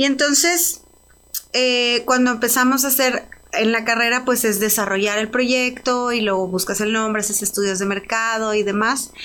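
A woman with an unremarkable speaking voice talks at a moderate pace, her fairly high pitch showing ordinary variation. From Mexico, Ciudad Juárez. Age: 30s. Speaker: entrepreneur, spirits brand founder. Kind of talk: interview. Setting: studio.

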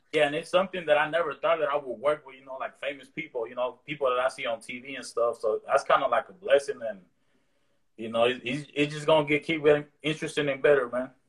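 A man talking very fast, with big swings in loudness and fairly even intonation. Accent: American. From East Oakland, California (part of childhood in Mexico). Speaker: rapper. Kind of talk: casual interview. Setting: video call. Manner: relaxed, halting with fillers.

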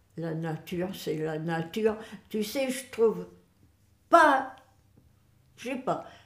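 A woman at a medium pitch, very slow, with long, frequent pauses, very wide pitch swings, big swings in loudness and audible room echo. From northern France, Boulogne-sur-Mer. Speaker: great-grandmother interviewee. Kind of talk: casual family interview.

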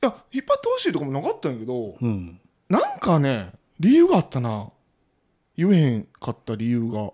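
A man's voice at a moderate pace, with a Kansai accent. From Osaka, Sakai. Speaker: podcaster. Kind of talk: casual chat.

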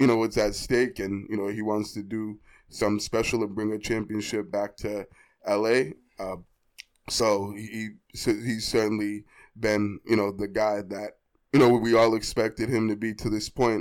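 Over a very clean recording with a silent background, a man with an American accent speaks at a fairly slow pace in a fairly low pitch and a monotone, flat intonation. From Boston. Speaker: sports podcast co-host. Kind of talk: casual chat.

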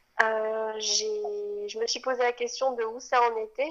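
A woman with a fairly high voice talks with fairly even intonation. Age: 20s. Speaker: mother sharing birth story. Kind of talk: testimony. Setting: outdoors. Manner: halting.

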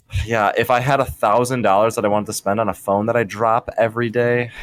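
With an ordinary speaking voice, a man talks at a fairly quick pace and a medium pitch with ordinary pitch variation. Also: very even loudness. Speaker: podcast co-host. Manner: joking.

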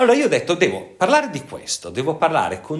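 Very wide pitch swings in a man's high voice. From northern Italy, Pavia. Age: 50s. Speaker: psychiatrist and sexologist. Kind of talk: interview.

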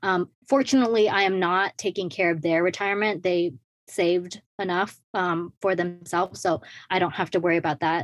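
A woman with a plain, everyday voice talks at a fairly quick pace, fairly low in pitch with ordinary pitch variation, in a dry, close sound with no echo and a quiet background. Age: 20s. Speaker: personal finance influencer. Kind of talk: interview.

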